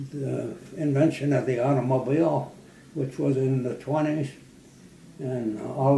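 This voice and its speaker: A man's medium-pitched voice, fairly slow and fairly even in intonation, over noticeable background noise. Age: 90s. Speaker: World War II Air Force veteran. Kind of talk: interview answer. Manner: hesitant, halting.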